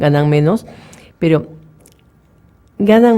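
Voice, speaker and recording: Her fairly low pitch and dark, mellow tone carry lively intonation as this woman speaks. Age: 60s. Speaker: journalist. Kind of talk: radio interview.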